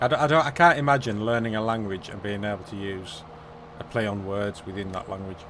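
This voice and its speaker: The speech runs at a very fast pace with ordinary pitch variation and big swings in loudness. Noticeable background noise can be heard. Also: man, fairly low pitch for a man. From England. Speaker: gaming live streamer. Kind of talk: casual chat.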